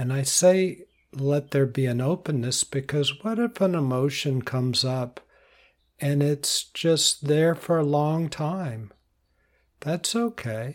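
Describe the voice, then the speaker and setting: Here a man talks at a very slow pace in a calm, soothing tone with ordinary pitch variation. The recording is very clean and the background silent. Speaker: meditation teacher and podcast host. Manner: slow, calm and soothing, with unhurried pauses between short instructions; warm, reassuring and conversational, repeating cues like breathe normally.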